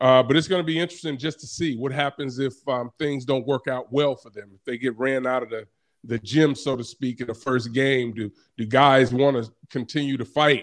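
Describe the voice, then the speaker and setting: An ordinary speaking voice at a fairly quick pace, with big swings in loudness over a quiet background. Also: man, medium pitch for a man, fairly even intonation. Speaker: college football analyst, former NFL player. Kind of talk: sports radio interview.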